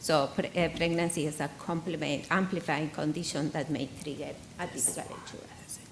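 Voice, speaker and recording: A woman with a very deep, low pitch talks at a moderate pace in a monotone, flat intonation, her loudness swinging widely, with audible room echo and noticeable background noise. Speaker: hematologist. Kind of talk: conference presentation.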